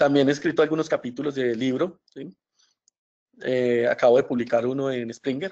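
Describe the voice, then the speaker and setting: A medium-pitched man at a moderate pace, with fairly even intonation. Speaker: professor. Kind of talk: webinar lecture. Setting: online webinar. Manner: hesitant, many fillers.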